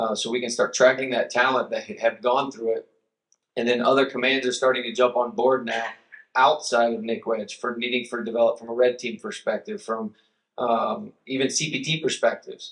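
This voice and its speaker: With ordinary pitch variation, the talking proceeds at a fairly quick pace. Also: man, medium pitch for a man. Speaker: military cyber enlisted leader. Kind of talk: panel discussion. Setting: stage with audience. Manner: loud.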